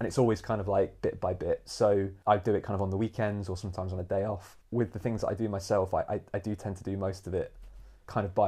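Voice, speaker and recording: A man speaks at a very fast pace with a fairly low pitch and a dark, mellow, somewhat breathy tone. His intonation is monotone and flat, against a quiet background. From East Midlands, England (Nottingham). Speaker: amateur musician. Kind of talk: casual chat. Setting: at home over dinner.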